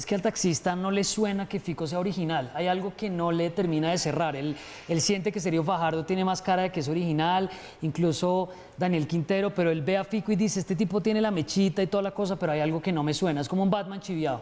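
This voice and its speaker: A man's high-pitched voice at a very fast pace, with fairly even intonation. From Colombia, Bogotá. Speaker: TV news host, journalist. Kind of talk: studio chat. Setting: TV studio.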